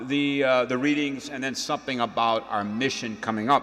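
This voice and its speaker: A man talks at a moderate pace with ordinary pitch variation, noticeable background noise behind him. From Louisiana, Cajun country (St. Landry Parish). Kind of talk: homily. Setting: church mass. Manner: folksy, conversational with fillers.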